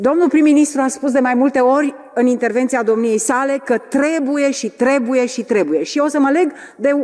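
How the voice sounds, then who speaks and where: With noticeable background noise behind her, a woman speaks at a moderate pace in a high pitch with ordinary pitch variation. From Romania. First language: Romanian (speaking Finnish). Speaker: politician. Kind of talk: parliamentary debate question.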